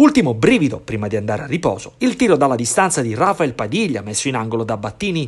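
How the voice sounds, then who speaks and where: Somewhat breathy and dramatic in tone, a man speaks at a fairly quick pace and a fairly high pitch with very wide pitch swings. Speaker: sports commentator. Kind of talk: sports highlights commentary, voiced over match footage. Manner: fast, animated play-by-play, rising on goals and near-misses; polished, dramatic narration with vivid verbs.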